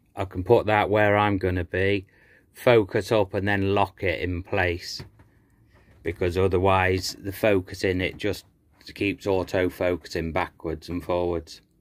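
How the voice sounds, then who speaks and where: A man with a very deep, low pitch speaks at a fairly slow pace with monotone, flat intonation. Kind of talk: casual vlog chat. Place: workshop. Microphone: phone near.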